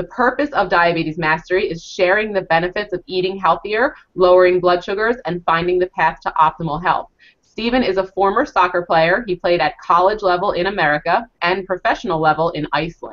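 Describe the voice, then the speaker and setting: A woman with a plain, everyday voice at a medium pitch talks at a fairly quick pace with hardly any pauses and ordinary pitch variation. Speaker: interviewer, diabetes coach. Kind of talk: interview host.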